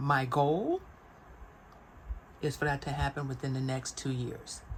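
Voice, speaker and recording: At a fairly slow pace, a woman speaks in a very deep, low, somewhat breathy voice with monotone, flat intonation. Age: 60s. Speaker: vlogger. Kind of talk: casual chat.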